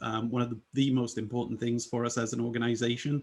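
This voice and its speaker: This is a man speaking. He has a British accent. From UK. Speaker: UX design leader. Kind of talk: presentation. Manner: many filler words (um, uh).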